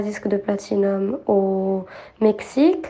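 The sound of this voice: Woman's dark, mellow tone at a medium pitch, with audible room echo.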